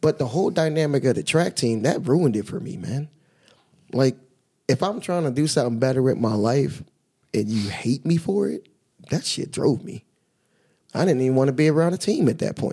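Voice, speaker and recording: Speaking at a fairly quick pace with long, frequent pauses, a man with an American accent has a fairly high pitch, lively intonation, and a dark, mellow tone. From Philadelphia and New Jersey, US. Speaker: track coach. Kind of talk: casual chat.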